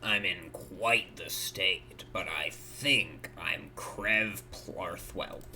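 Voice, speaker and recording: Over clear background noise, a man uses a raspy put-on character voice, speaking very slowly with hardly any pauses. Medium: video game. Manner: curt, cold, deadpan.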